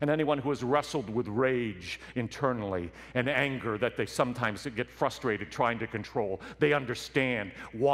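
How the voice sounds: The clip features a natural reading voice that shows ordinary pitch variation.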